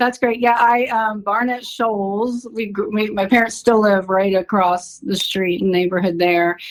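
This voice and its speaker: A fairly high-pitched woman with an American accent, an ordinary speaking voice, fairly even intonation and a moderate pace. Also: hardly any pauses. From US South, Athens, Georgia. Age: 40s. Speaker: energy healer. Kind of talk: casual chat.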